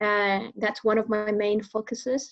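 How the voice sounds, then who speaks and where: With a Venezuelan accent, a woman talks at a fairly high pitch. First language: Spanish. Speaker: public speaker. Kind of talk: interview. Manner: hesitant, many fillers.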